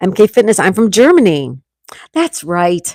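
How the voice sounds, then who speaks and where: A loud, animated woman with a Western New York accent and very wide pitch swings, on a very clean recording with a silent background and a dry, close sound with no echo. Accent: Western New York American. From New York State, US (Hamburg, NY). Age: 60s. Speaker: livestreamer. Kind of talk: casual livestream chat reading comments.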